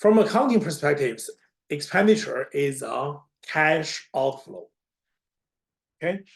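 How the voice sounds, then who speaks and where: Very slow speech comes in a non-native accent. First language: not English. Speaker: accounting instructor. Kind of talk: lecture.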